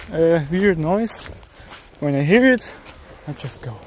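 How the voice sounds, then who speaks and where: A man with a German accent speaks fairly slowly in a high voice with lively intonation. Noticeable background noise runs underneath. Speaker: amateur video uploader. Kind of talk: casual vlog narration. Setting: outdoors in a forest. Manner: halting.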